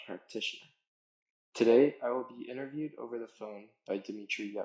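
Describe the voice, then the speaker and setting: A man is speaking here. His pace is fairly quick. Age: 20s. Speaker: anthropology student. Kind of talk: scripted introduction.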